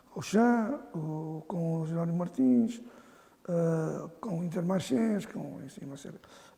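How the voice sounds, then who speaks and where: A man speaks at a fairly slow pace in a high voice, with lively intonation and big swings in loudness. Audible room echo surrounds his voice. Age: 70s. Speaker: football association president. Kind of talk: interview. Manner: halting.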